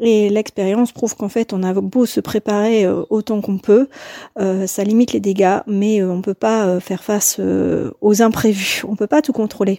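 Dry, close sound with no echo, carrying a woman's dark, mellow tone at medium pitch, fairly even intonation and a fairly slow pace. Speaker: mother giving testimony. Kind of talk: recorded testimony.

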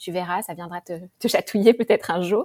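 Fairly even in intonation, a woman's dark, mellow tone comes through a very clean recording with a silent background and a dry, close sound with no echo. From France, Paris. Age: 40s. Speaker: podcaster. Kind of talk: interview.

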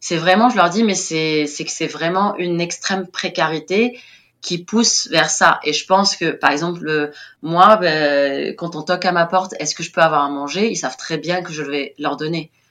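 Against a quiet background, a woman talks at a moderate pace. Her fairly low voice has ordinary pitch variation. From Tunisia, Tunis. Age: 30s. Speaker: teacher at a French school abroad. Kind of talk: interview testimony. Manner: animated.

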